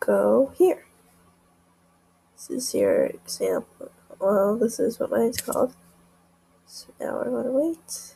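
A woman speaks quietly at a very slow pace, with long, frequent pauses and big swings in loudness. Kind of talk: casual screen-recording tutorial.

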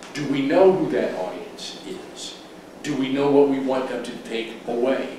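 In a room with strong echo and light background noise, a man talks at a fairly slow pace with ordinary pitch variation. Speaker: presenter. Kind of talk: lecture. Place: meeting room.

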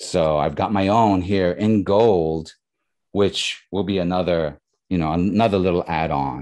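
With a quiet background, a man talks fairly slowly in a very deep, low voice with ordinary pitch variation. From New York. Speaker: comic artist and illustrator; comic artist. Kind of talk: interview. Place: home room. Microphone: video call.

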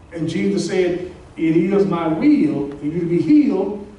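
A man speaks at a very slow pace with audible room echo. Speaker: pastor. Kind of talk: sermon. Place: hall.

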